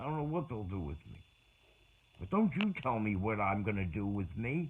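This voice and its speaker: A man with a fairly low pitch speaks at a moderate pace, somewhat breathy. His pitch swings very widely. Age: 60s. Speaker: vlogger. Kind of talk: personal monologue. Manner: halting.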